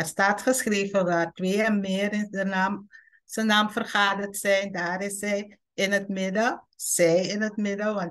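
Fairly slow speech from a woman, set in a quiet background. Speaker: presenter. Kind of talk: online bible study talk. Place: home room. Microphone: video call.

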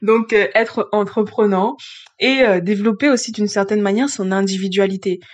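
A woman at a moderate pace and medium pitch, with fairly even intonation and noticeable background noise. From grew up outside France. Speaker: astrologer. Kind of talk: solo video explainer. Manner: hesitant with frequent fillers.

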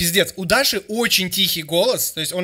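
Loud and bright with a sharp tone, a man speaks at a high pitch and moderate pace, his intonation lively over a quiet background. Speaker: streamer and music critic; streamer. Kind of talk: reaction stream commentary. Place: home room. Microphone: studio mic.

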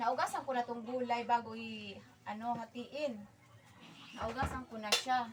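Noticeable background noise sits behind a woman with a high voice. She speaks at a fairly slow pace with fairly even intonation and big swings in loudness. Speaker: vlogger. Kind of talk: casual cooking vlog.

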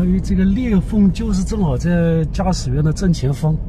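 Noticeable background noise sits behind a man speaking at a fairly quick pace, in a dry sound with no echo. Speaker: travel vlogger. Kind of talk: casual vlog narration. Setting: outdoors and in a car. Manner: casual, chatty. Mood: frustrated but animated.

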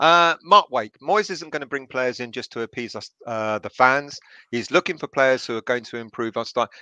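A man talks at a moderate pace with lively intonation and a bright, sharp tone. His loudness swings widely, and the sound is dry with no echo against a quiet background. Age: 30s. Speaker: football fan channel host; fan show host. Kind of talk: casual chat. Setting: video call. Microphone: headset.

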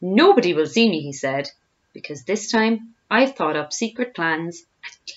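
With lively intonation, a person is reading aloud in a natural voice against a quiet background.

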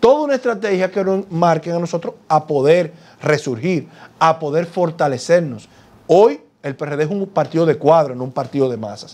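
Talking at a moderate pace, a man with a fairly high pitch uses lively intonation. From Dominican Republic. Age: 40s. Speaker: politician; politician interviewee. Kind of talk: TV interview. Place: studio. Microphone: lapel.

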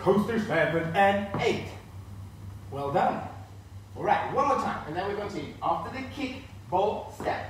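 Light background noise and audible room echo surround a man whose high pitch makes very wide swings. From northern Sweden. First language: Swedish. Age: 30s. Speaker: line dance instructor. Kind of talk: live-streamed dance class, instructing step by step with counts. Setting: live stream from home. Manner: upbeat, encouraging; rhythmic, brisk count-offs. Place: empty room.

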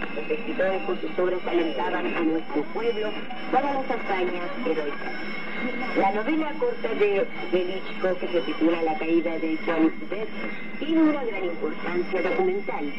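Loud background noise surrounds a voice speaking at a fairly slow pace. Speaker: radio announcer. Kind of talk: 1980s shortwave radio news bulletin and talk, formal scripted reading. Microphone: old recording.

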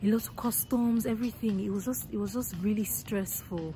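Clear music plays in the background as the voice moves at a fairly quick pace with ordinary pitch variation and a dry sound with no echo. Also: woman. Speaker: travel vlogger. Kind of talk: casual vlog chat. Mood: excited, laughing. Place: station. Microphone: phone near.

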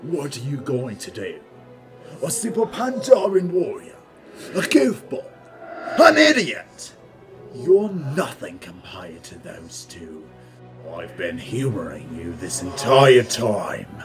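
A man's fairly high voice at a fairly slow pace with long, frequent pauses, over clear background music. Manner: sneering, menacing.

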